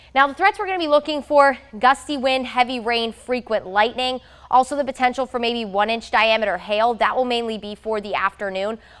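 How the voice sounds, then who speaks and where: A woman's high, upbeat voice at a fairly quick pace, with ordinary pitch variation against a quiet background. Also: hardly any pauses. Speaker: TV meteorologist. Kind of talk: TV weather forecast, explaining storm outlook map to camera. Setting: TV studio in front of weather map. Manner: conversational, upbeat explainer with light banter; measured, reassuring tone, repeatedly stressing threat is isolated. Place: studio.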